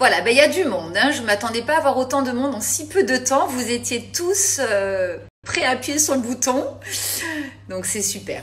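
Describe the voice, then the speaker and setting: The woman's voice is high-pitched, and she keeps a moderate pace. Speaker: cooking host on a live stream. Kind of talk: casual live chat. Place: kitchen. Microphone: phone near.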